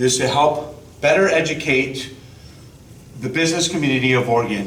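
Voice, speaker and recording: The man's voice shows ordinary pitch variation, with audible room echo and noticeable background noise. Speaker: state tax outreach officer. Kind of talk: presentation to an audience. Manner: loud.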